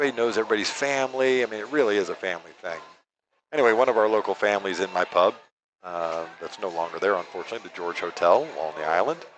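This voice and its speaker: Over a quiet background, a man with an American accent uses a normal speaking voice at a fairly low pitch. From New York. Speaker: pool commentator. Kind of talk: live commentary with casual chat. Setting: live stream at a pool hall.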